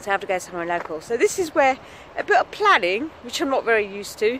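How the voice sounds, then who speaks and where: The speaker has an English accent. The pace is very fast. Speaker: vlogger. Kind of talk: casual vlog. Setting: outdoors, walking to work.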